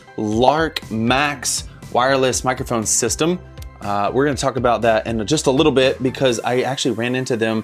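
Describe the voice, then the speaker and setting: Over faint music in the background, a man talks at a moderate pace with ordinary pitch variation. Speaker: worship leader vlogger. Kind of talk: casual vlog chat. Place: home room. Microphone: lapel.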